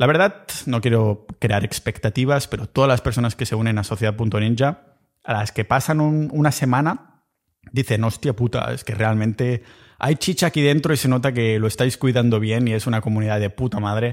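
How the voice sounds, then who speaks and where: Heard on a very clean recording with a silent background, a man talks at a moderate pace in a medium pitch with ordinary pitch variation. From Catalonia. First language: Catalan (speaking Spanish). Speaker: podcast host. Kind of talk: solo podcast monologue. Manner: casual, animated.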